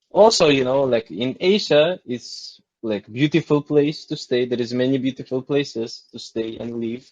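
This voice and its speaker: A man with a non-native accent and a medium pitch. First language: not English. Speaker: model. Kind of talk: casual chat. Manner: halting.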